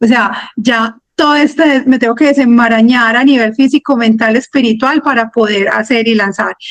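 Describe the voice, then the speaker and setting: Hardly pausing, a woman speaks at a moderate pace and high pitch, with fairly even intonation and very even loudness. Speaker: mentoring client, speaker. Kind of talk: interview testimony. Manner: soft-spoken.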